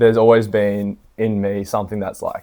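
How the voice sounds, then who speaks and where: With an Australian accent, a man speaks at a fairly low pitch in a monotone, flat intonation. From Australia, Brisbane area. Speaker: entrepreneur. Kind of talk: casual chat.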